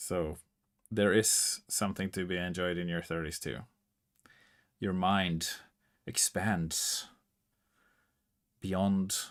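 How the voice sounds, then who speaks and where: Very slow male speech in a very deep, low pitch, with fairly even intonation, long, frequent pauses, and a very clean recording over a silent background. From Norway. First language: Norwegian. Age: 30s. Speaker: music composer livestreamer. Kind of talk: casual chat.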